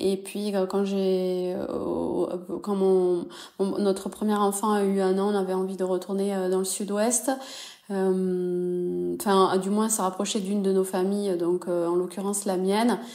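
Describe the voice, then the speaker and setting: Against noticeable background noise, a woman at medium pitch talks at a fairly slow pace in a monotone, flat intonation. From southwest France, Toulouse. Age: 30s. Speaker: entrepreneur. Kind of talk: interview. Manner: hesitant, many fillers.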